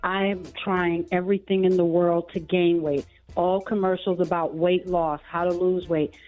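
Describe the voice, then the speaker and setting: A woman's fairly low, monotone voice with flat intonation and very even loudness at a moderate pace, music in the background. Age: 60s. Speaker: radio caller. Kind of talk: call-in question.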